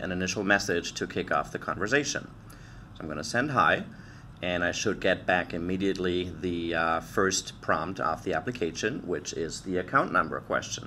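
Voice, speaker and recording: Light background noise is present. The speech moves at a moderate pace. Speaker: product demonstrator. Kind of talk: tutorial. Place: office.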